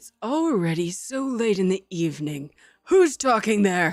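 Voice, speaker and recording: This is a put-on character voice that sounds female. Its pitch sits in the middle. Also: moderate pace. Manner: crotchety.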